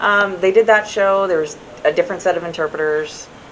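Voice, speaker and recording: Pitch variation is ordinary. Noticeable background noise sits behind the voice. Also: woman. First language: American Sign Language. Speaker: sign language interpreter. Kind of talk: casual interview. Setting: comedy club after a show.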